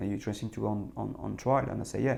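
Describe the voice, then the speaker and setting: With a French accent, a man is talking. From France. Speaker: former footballer and football manager. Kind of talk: interview. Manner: hesitant, many repeated words.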